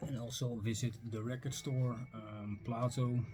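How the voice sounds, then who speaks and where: A man with a Dutch accent speaks in a monotone, flat intonation. Music plays in the background. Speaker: record and book collector vlogger. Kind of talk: casual video vlog. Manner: hesitant, many fillers.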